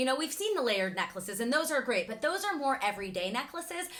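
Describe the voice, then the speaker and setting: Loud and animated, a woman talks in a high pitch with very wide pitch swings. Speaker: fashion YouTuber. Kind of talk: casual vlog talk to camera.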